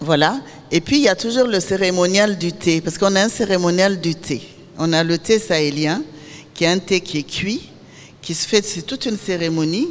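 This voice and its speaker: Noticeable background noise runs behind a woman's voice. She speaks at a medium pitch with ordinary pitch variation. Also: moderate pace. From Niger. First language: Zarma (Songhai) (speaking French). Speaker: filmmaker. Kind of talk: master class talk.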